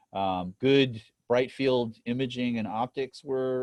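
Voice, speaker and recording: The sound is dry and close with no echo. A man's voice sits at a medium pitch. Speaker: lecturer. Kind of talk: lecture. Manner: fast.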